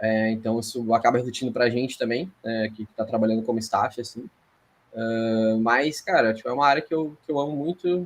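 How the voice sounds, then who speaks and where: The man's pitch is medium. He talks at a moderate pace. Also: ordinary pitch variation. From Rio Grande do Sul, Brazil. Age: 30s. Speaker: sports psychologist. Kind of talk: podcast interview. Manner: hesitant, many fillers and repetitions.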